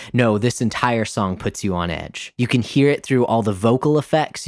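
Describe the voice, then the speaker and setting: A man speaks at a medium pitch in a very clean recording with a silent background. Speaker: music podcast host. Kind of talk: solo album review monologue. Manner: frequent filler 'um'.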